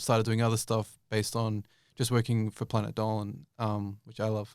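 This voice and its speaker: A man with an Australian accent speaks at a very fast pace and a medium pitch. The recording is very clean, with a silent background. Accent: Australian accent, noticed by viewers. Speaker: YouTube creator and voice actor. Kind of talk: interview. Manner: casual, many fillers and restarts.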